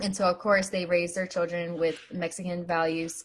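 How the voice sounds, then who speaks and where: Somewhat breathy and fairly low in pitch, a woman talks at a moderate pace over a quiet background. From US Appalachia (West Virginia). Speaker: podcast co-host. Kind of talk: casual chat.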